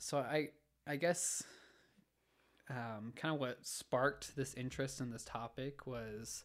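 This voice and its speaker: The speaker talks at a fairly slow pace with a Utah accent. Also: man. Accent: Utah American English. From Utah, Orem. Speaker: engineering student. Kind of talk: casual chat. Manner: halting.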